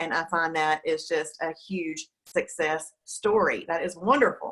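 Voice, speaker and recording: A woman speaks in a normal speaking voice at a fairly low pitch, keeping a fairly slow pace with hardly any pauses. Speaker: diet program host. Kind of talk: interview host, casual talk. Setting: studio.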